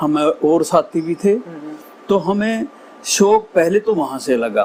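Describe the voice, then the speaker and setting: A man speaks with lively intonation at a high pitch. Background noise is noticeable. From western Uttar Pradesh, Baghpat district. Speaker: Haryanvi ragni folk singer. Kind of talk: interview answer.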